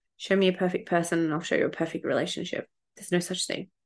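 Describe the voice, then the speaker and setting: A woman with an Australian accent talks at a very fast pace in an animated tone, her pitch medium, over a quiet background. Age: 30s. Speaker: podcast host, spiritual development coach. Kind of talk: casual solo podcast monologue.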